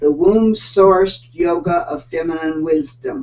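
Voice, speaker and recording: A fairly low-pitched woman's voice with an American accent and ordinary pitch variation. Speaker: online show host. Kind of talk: livestream interview introduction. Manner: casual, halting.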